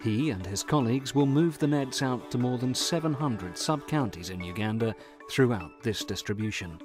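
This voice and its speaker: A man with a medium-pitched voice talks at a moderate pace, his pitch swinging very widely over music in the background. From England. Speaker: voice actor. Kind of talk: documentary narration.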